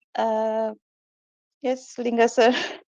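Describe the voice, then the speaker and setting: An Indian accent in a dry, close sound with no echo. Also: woman. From India, Kolkata. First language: Hindi. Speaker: meditation practitioner and student. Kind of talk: testimony in online meeting. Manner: halting.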